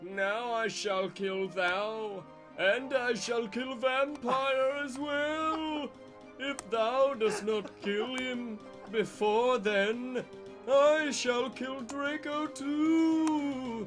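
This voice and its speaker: Over clear background music, a man uses a put-on character voice at an extremely high pitch and a very slow pace. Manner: evil.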